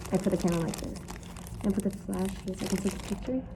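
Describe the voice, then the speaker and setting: At a very fast pace, a woman speaks at a medium pitch with fairly even intonation. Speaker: vlogger. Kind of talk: casual vlog talk. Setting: outdoors in snowstorm. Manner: casual, rambling filler words.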